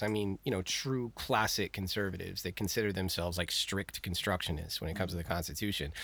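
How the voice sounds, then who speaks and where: A man talks very fast, captured on a very clean recording with a silent background. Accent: American. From Texas. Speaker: podcast researcher and history enthusiast. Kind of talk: casual chat.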